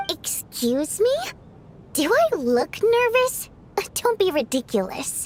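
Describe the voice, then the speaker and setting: Using a put-on character voice, a woman talks at an extremely high pitch with very wide pitch swings, a fairly slow pace and long, frequent pauses, over clear background noise. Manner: defensive, dismissive.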